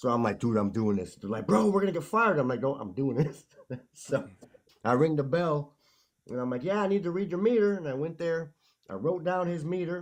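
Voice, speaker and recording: A man with an American accent, very wide pitch swings and a fairly quick pace. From Chicago. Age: 50s. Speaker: music producer. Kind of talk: storytelling in casual chat.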